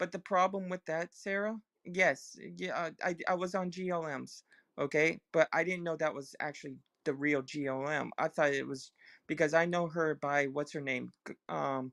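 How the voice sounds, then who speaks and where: A woman speaks at a moderate pace in a very deep, low pitch with ordinary pitch variation. The sound is dry and close with no echo, in a very clean recording with a silent background. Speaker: live streamer. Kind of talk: heated argument. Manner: stuttering when excited.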